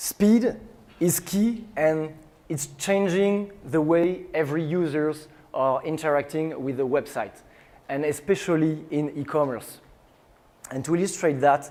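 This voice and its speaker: Delivered at a fairly slow pace in a strong French accent, the voice has a dark, mellow tone and ordinary pitch variation. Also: man. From France. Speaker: tech startup CEO. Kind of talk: conference talk.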